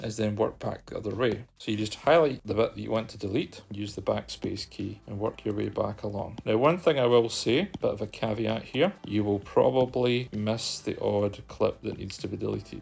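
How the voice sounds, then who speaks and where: The speaker has a Scottish accent and a moderate pace. There are hardly any pauses. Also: man. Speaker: video editing tutorial creator. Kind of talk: screen-recorded software tutorial. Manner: casual, conversational.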